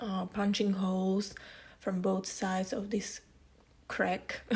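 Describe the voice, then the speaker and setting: A woman with a non-native accent, somewhat breathy, at a fairly slow pace. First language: not English. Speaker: scrapbooking youtuber. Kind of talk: tutorial. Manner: hesitant, many fillers.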